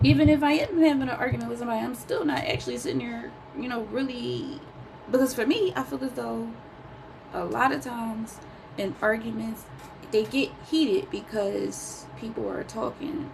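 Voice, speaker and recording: Noticeable background noise and audible room echo accompany a woman speaking at a moderate pace. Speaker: vlogger. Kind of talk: personal vlog monologue. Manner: calm, even tone; rarely raises voice.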